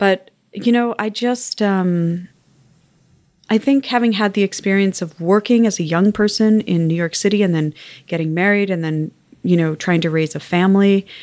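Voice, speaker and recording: A woman with a Canadian accent speaks in a plain, everyday voice at a moderate pace. Her pitch variation is ordinary, on a very clean recording with a silent background. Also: medium pitch for a woman. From Canada, West Island of Montreal. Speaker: arts organization executive. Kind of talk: interview. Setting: office.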